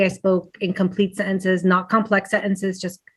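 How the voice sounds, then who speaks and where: At a moderate pace, a woman with a Spanish accent speaks at a medium pitch in a very clean recording with a silent background. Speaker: teacher. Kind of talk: panel discussion.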